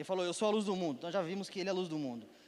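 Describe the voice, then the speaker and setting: The voice belongs to a man with a high pitch. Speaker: preacher. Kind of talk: sermon. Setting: church with congregation.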